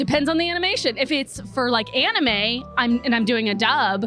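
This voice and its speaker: A woman speaks at a moderate pace in a high voice. Music plays in the background. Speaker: voice actor. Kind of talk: interview answer.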